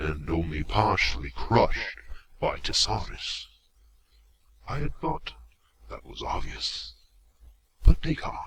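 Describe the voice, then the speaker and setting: The speaker uses a put-on character voice that is raspy with a menacing tone. Delivery is fairly slow, broken by long, frequent pauses. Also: man, very deep, low pitch for a man. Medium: audio drama. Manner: slow, menacing, mock-polite.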